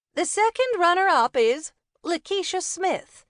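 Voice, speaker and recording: A woman does a put-on character voice that is squeaky and extremely high in pitch, with very wide pitch swings at a moderate pace. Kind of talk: ceremonial public announcement. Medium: read story. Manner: formal, brisk.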